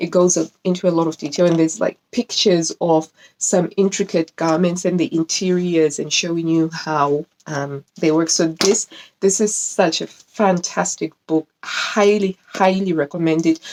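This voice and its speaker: A woman's fairly low voice with a non-native accent, at a moderate pace, dry and close with no echo. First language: not English. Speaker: sewing YouTuber. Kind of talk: casual video review. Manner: animated; halting.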